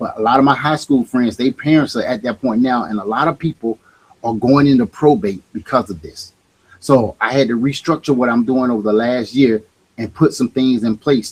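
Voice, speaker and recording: A man with a plain, everyday voice speaks at a moderate pace and medium pitch with ordinary pitch variation, in a dry, close sound with no echo. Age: 50s. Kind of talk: casual chat.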